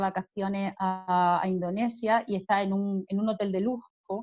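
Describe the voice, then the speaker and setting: A woman speaks with an Andalusian accent. Her pitch sits at a medium level. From Andalusia, Spain (Jaén). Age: 50s. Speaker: author and business consultant. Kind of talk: interview.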